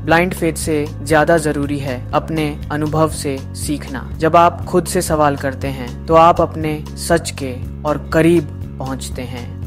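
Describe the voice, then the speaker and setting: Over music in the background, a man with a very deep, low pitch speaks with very wide pitch swings. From India. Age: young. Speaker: voiceover narrator. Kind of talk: spiritual explainer narration.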